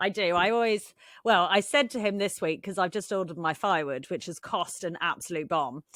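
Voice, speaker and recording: A woman's bright, sharp tone with an English accent, fairly low pitch, moderate pace, and a very clean recording over a silent background. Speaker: podcast co-host. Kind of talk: casual chat.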